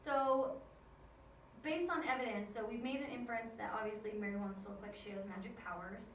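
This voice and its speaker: At a fairly quick pace, the voice carries audible room echo along with noticeable background noise. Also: woman, fairly high pitch for a woman, ordinary pitch variation. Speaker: school teacher. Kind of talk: recorded lesson for students. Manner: fast.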